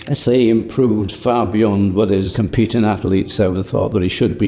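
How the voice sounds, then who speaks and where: Noticeable background noise accompanies a man with a Lancashire accent. He speaks at a moderate pace with fairly even intonation. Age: 80s+. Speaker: company co-founder. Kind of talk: documentary interview.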